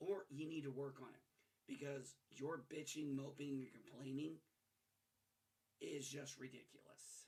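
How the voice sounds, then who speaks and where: This soft-spoken voice moves at a fairly slow pace. Long pauses come often. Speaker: gaming news commentator. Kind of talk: casual commentary rant to camera. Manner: soft-spoken, low volume.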